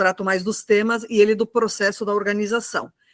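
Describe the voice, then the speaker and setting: A woman speaks at a fairly quick pace and fairly high pitch, in a monotone, flat way. The sound is dry and close with no echo. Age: 60s. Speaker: retired teacher and union activist. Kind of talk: online political talk.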